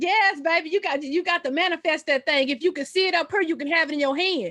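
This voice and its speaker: In a Southern US accent, this raised, projected voice moves at a very fast pace. Its tone is bright and sharp, with ordinary pitch variation. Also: woman, extremely high pitch for a woman. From Texas, Dallas. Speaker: entrepreneur. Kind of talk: group coaching Q&A.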